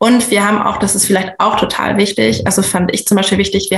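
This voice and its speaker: A woman speaks at a medium pitch. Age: 30s. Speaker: stepmother sharing personal experience. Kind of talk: casual interview.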